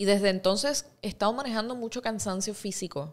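Ordinary pitch variation in a woman's speech. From Puerto Rico (Ponce, San Germán); Puerto Rico. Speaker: actress and singer; actress. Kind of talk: interview. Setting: studio. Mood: relaxed, storytelling. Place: studio. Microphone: studio mic.

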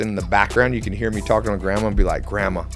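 Faint music plays in the background while a man speaks. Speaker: podcast guest. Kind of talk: interview answer. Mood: amused, storytelling. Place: studio. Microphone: studio mic.

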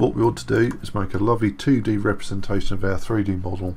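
There is light background noise behind a man with a dark, mellow tone. His voice is somewhat breathy, with ordinary pitch variation. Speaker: 3D modelling tutor. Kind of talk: tutorial.

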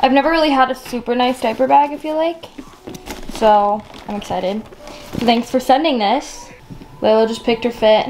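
A woman's fairly high, slightly mellow voice with ordinary pitch variation

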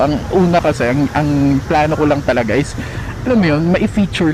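A man's fairly high voice at a fairly quick pace, with noticeable background noise. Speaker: motovlogger. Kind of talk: casual monologue. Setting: riding a motorbike outdoors. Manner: animated; talkative.

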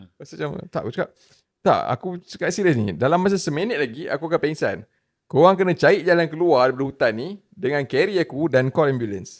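Talking at a very fast pace, a man uses a fairly high pitch with vocal fry and lively intonation. His loudness swings widely, and the background is quiet. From Malaysia. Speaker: trail runner, podcast guest; podcast guest. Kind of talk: casual chat. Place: studio. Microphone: studio mic.

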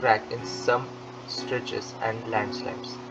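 A man at a medium pitch, with music in the background. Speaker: audiobook narrator. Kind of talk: textbook audiobook reading. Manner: low-energy.

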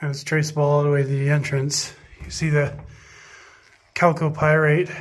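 The speaker goes at a fairly slow pace with monotone, flat intonation. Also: man. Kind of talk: commentary. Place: tunnel cave. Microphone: phone near.

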